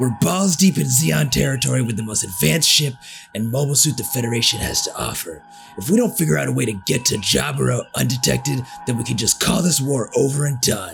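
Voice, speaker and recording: A man puts on a raspy character voice with a medium pitch, talking at a fairly quick pace. Background noise is clear in the recording. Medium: fan dub. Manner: blunt, irritable.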